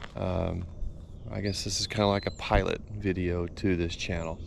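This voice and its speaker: Through noticeable background noise, a man with an American accent speaks in a monotone, flat intonation. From Texas. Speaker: business owner and outdoors channel host. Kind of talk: casual vlog talk to camera. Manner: hesitant with many fillers.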